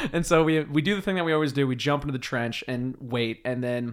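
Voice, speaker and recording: A man with an American accent speaks in a plain, everyday voice at a medium pitch and moderate pace, with ordinary pitch variation. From US Pacific Northwest island. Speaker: podcast host. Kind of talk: casual chat.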